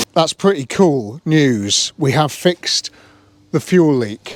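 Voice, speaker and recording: A man with a British accent, lively intonation and a fairly slow pace, in a dry, close sound with no echo. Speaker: car restoration youtuber. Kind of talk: hands-on vlog commentary. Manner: casual.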